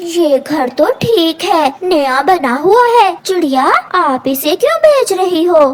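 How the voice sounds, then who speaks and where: A woman does a cartoonish character voice at an extremely high pitch. She goes at a fairly slow pace with hardly any pauses. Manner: friendly.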